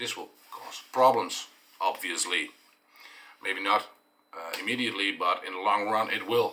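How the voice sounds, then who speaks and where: A man speaks at a fairly slow pace with a Dutch accent. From eastern Netherlands. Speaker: dairy farmer and vlogger. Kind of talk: explanatory vlog monologue. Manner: halting, many fillers.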